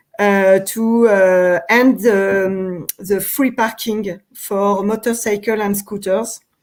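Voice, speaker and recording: Speaking with a French accent, a woman talks at a very slow pace with fairly even intonation. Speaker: urban cycling policy official. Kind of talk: interview. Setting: live stream. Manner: halting, many fillers.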